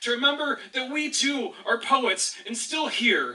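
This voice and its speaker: Over noticeable background noise, a man shouts in a raised, projected voice at an extremely high pitch, with an angry tone and ordinary pitch variation. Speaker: slam poet. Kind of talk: slam poetry performance. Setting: live audience. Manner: impassioned, angry.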